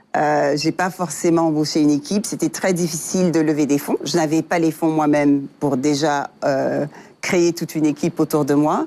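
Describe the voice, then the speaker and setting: Dark and mellow in tone, a woman's very deep, low voice keeps a fairly even intonation. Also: moderate pace, very even loudness. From Africa, various countries, then the US. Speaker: software engineer and tech entrepreneur. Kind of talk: interview. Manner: hesitant, many fillers.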